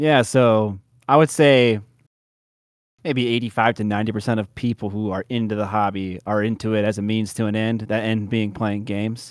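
A normal speaking voice with an American accent delivers its words with fairly even intonation. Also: man, fairly low pitch for a man, moderate pace. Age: 30s. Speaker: miniature painting YouTuber. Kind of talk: casual interview chat.

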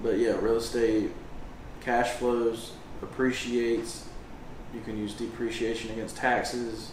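A quiet man at medium pitch, fairly slow and monotone with flat intonation, long, frequent pauses, audible room echo and noticeable background noise. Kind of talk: casual chat. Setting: at the beach.

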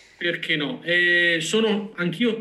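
A man is heard over noticeable background noise. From Veneto, Vicenza. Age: 30s. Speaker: data scientist. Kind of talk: interview.

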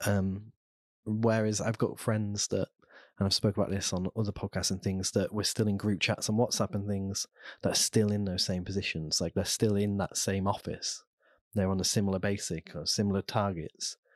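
With a Lincolnshire accent, a man speaks in a fairly low pitch at a moderate pace, his intonation monotone and flat. The sound is dry and close with no echo over a quiet background. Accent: northern English (Lincolnshire). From Lincolnshire, England. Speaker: entrepreneur. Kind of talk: interview. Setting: studio.

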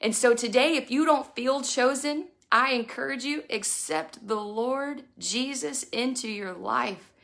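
Animated in tone, a woman with a Texan accent speaks in a high voice with ordinary pitch variation. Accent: Texan (US South). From Texas, Houston area. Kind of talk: devotional message.

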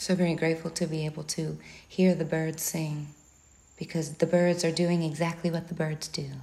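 Her fairly low-pitched voice carries a dark, mellow, warm tone, somewhat breathy, in a monotone, flat intonation. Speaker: spiritual prayer leader. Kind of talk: fervent spoken prayer, rising string of searching rhetorical questions. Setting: outdoors, birds audible. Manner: earnest, impassioned, repeating questions with mounting urgency; warm and affectionate, unhurried with breathing pauses.

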